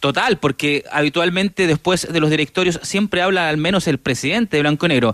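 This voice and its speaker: A high-pitched man at a fairly quick pace with hardly any pauses, ordinary pitch variation, and a dry, close sound with no echo. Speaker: sports reporter. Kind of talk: field report.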